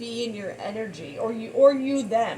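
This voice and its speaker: A woman's fairly high voice with lively intonation over noticeable background noise. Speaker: tarot reader. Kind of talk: tarot reading monologue. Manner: halting, stuttering.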